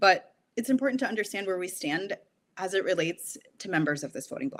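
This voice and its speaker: A woman with an unremarkable speaking voice, medium pitch, lively intonation and a fairly quick pace. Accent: American. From US Midwest, southeastern Wisconsin. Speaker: podcast host. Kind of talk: scripted podcast intro. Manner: formal.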